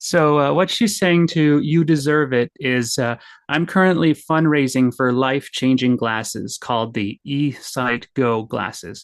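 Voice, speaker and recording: A man with a Canadian accent has an ordinary speaking voice, fairly high in pitch with ordinary pitch variation. He talks with hardly any pauses over a quiet background. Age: 30s. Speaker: blind stand-up comedian. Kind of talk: podcast interview. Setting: podcast recording with microphones.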